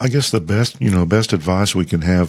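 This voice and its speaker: This man's voice sits at a fairly low pitch with lively intonation. The recording is very clean, with a silent background. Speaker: ruling elder and podcast host. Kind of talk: casual chat.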